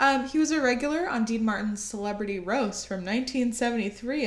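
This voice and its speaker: The speaker goes at a moderate pace with ordinary pitch variation. Noticeable background noise and audible room echo are present. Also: woman. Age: 20s. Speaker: podcast co-host. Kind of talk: casual chat.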